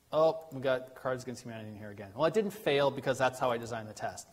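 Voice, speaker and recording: Speaking at a very fast pace, a man uses a medium pitch with ordinary pitch variation. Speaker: tech conference presenter. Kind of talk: technical presentation. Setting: meetup with live audience.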